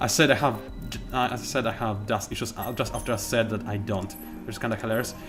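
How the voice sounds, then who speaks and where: A man is speaking. Music plays in the background. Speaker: gamer. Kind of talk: live gameplay commentary.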